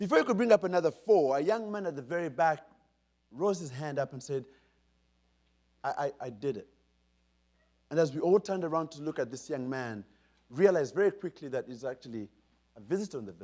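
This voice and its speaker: Speaking at a fairly quick pace with long, frequent pauses, a man uses a fairly high pitch, an animated tone, lively intonation and big swings in loudness. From Uganda. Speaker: keynote speaker. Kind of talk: keynote speech. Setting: stage with audience. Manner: animated storytelling.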